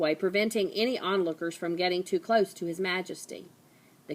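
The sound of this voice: An unforced reading voice, its pitch shifting in an ordinary way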